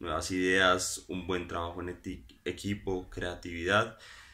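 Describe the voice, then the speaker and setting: A man's very deep, low voice carries a bright, sharp tone. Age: 20s. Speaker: business student. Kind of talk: job application video. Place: home room. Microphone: phone near.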